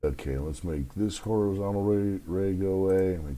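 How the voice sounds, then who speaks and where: Lively intonation from a male speaker, moderate pace, noticeable background noise behind him. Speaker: stock market analyst. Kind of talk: market analysis tutorial. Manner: hesitant, many fillers.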